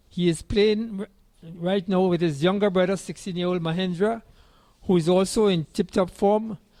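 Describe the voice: Delivered at a moderate pace, the speech has fairly even intonation and a slightly mellow tone. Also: man, high pitch for a man.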